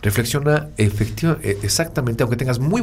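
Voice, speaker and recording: A man talks at a moderate pace in a dark, mellow tone with vocal fry. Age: 40s. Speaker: podcast co-host, communication consultant. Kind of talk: casual explanatory chat.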